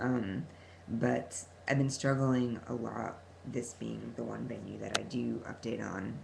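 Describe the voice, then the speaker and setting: There is audible room echo around the voice. A man speaks at a fairly slow pace. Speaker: vlogger and social worker. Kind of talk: personal vlog. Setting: talking at a computer. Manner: halting, many fillers.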